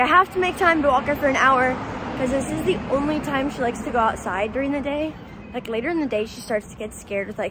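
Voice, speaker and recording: A woman's high voice at a very fast pace, dry with no echo, amid noticeable background noise. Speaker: lifestyle vlogger. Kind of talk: casual vlog chat. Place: street. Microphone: phone near.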